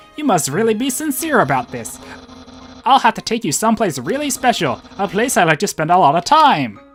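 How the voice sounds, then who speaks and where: A put-on character voice, gravelly and fairly high, swings very widely in pitch at a fairly quick pace. Faint music sits in the background. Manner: goofy, sincere-sounding.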